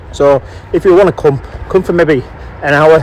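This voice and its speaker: A man with a northern English accent and a fairly high pitch at a moderate pace, over noticeable background noise. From northern England. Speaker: walking vlogger. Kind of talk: vlog narration. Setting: outdoors.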